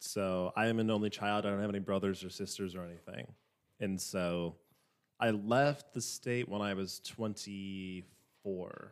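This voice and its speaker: A man with an American accent and a fairly low pitch uses fairly even intonation in an ordinary speaking voice, on a very clean recording with a silent background. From Minnesota, US. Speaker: guest. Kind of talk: casual chat.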